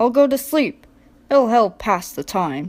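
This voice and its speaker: A woman's put-on character voice, growling and fairly high in pitch, at a fairly slow pace. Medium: read story. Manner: fussy, proper, scolding.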